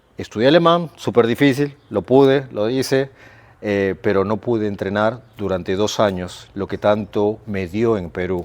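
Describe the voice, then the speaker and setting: A man with a normal speaking voice talks at a fairly slow pace in a fairly low pitch, with ordinary pitch variation. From Peru (Lima). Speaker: sports coach for children with ADHD. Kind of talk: casual chat.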